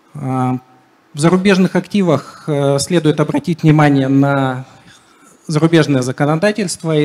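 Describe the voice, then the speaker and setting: With a dark, mellow tone, a man talks at a moderate pace and fairly even intonation. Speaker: IT security manager. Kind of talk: conference talk. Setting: stage with audience. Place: hall. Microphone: handheld.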